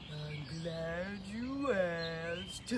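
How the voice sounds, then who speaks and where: A put-on character voice at a middle pitch comes through over loud background noise. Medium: read story. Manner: relaxed, folksy.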